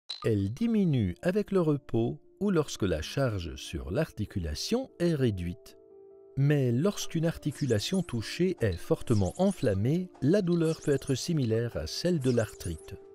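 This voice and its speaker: Music plays in the background as a man talks at a fairly slow pace. His voice is fairly high in pitch. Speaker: voice-over narrator. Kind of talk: health information explainer narration.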